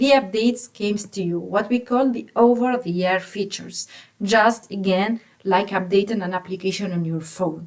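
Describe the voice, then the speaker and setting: Here is a woman with a normal speaking voice at a moderate pace. Her pitch is medium, with ordinary variation. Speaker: automotive software engineer explaining tech. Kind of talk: tech explainer.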